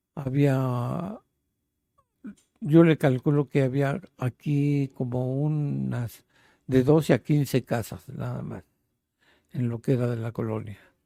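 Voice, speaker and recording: At a very slow pace with long, frequent pauses, a man with a dark, mellow tone speaks at medium pitch with ordinary pitch variation, in a dry, close sound with no echo. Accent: Mexico City. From Mexico City. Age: 80s+. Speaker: interviewee, elderly resident. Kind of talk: interview, life story. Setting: at his home.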